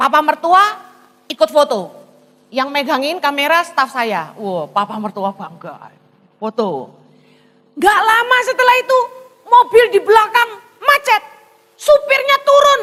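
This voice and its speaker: A woman's extremely high, raised and projected voice in a Javanese accent, animated, with very wide pitch swings, a fairly slow pace and long, frequent pauses. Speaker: pastor. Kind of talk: sermon.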